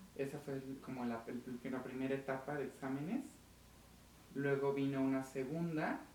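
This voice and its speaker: A man's monotone, flat delivery amid noticeable background noise and audible room echo. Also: medium pitch for a man, moderate pace. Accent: Mexican. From Mexico (Aguascalientes). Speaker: diplomat. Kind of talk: interview.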